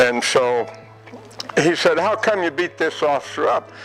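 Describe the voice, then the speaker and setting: With music in the background, a man talks at a fairly slow pace. His pitch swings very widely. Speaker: World War II veteran. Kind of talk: interview answer.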